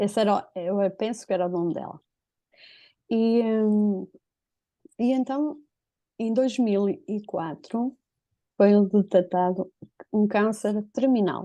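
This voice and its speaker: Against a quiet background, a woman with a European Portuguese accent speaks at a very slow pace with long, frequent pauses, a medium pitch, ordinary pitch variation, and a dark, mellow tone. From northern Portugal. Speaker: interviewee telling a personal story. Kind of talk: personal testimony.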